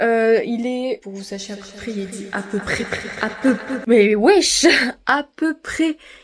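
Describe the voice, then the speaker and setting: Over noticeable background noise, a woman with a fairly high voice speaks at a very slow pace, with big swings in loudness and ordinary pitch variation. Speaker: student vlogger. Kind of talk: casual vlog talk.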